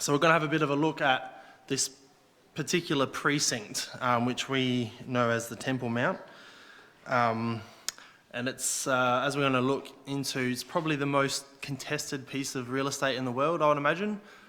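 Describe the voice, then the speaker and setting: With an Australian accent, a man talks at a moderate pace. His medium-pitched voice keeps fairly even intonation. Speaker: lay preacher. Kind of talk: sermon. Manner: halting.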